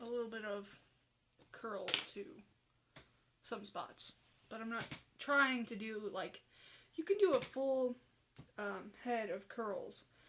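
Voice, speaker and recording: A woman talks very slowly in a fairly high voice, leaving long, frequent pauses. Her loudness swings widely while her pitch varies in an ordinary way. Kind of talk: casual hair tutorial talk to camera. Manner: rambling.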